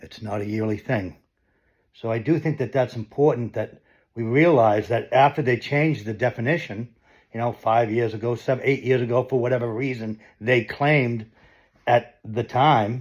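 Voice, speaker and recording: Over a quiet background, a man with an American accent talks at a moderate pace in a medium pitch with fairly even intonation. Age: 60s. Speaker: political commentator. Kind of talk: monologue commentary. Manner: halting.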